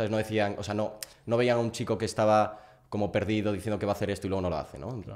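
A man's fairly low voice at a very fast pace, with fairly even intonation and a quiet background. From Galicia, A Coruña; Galicia. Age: 20s. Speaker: growth partner, student; podcast guest. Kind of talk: interview. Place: home room. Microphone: studio mic.

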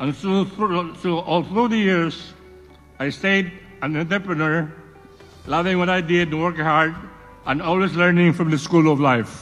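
A man with a Visayan Filipino accent speaks at a moderate pace and high pitch, with fairly even intonation. He takes long, frequent pauses while faint music plays in the background. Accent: Filipino (Cebuano) English. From Cebu, Philippines. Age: 80s+. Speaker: entrepreneur. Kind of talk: award acceptance speech. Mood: reflective, proud. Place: hall. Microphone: podium.

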